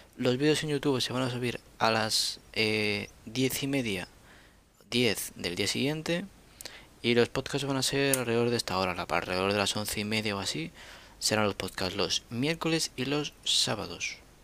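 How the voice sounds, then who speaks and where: This man has a bright, sharp tone at medium pitch, talking at a moderate pace with ordinary pitch variation. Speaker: podcast host. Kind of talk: casual chat.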